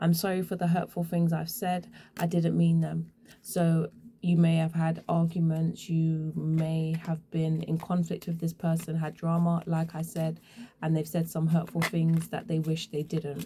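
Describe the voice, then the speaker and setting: A woman speaks at a moderate pace with a fairly low pitch. Her tone is dark and mellow, and her voice is somewhat breathy. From England. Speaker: tarot reader. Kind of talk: tarot reading. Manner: casual.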